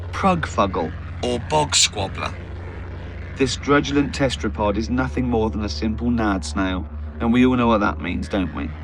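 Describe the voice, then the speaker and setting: A man's very deep, low voice with very wide pitch swings, a moderate pace and noticeable background noise. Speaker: comedian, author. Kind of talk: audiobook reading.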